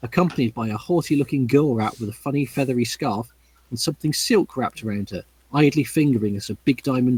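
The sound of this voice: Pitch varies in an ordinary way. The reading voice is unforced.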